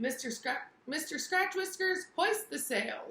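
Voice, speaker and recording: Growling in a put-on character voice, a woman speaks at a fairly slow pace with an extremely high pitch. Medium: read story. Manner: growling pirate talk.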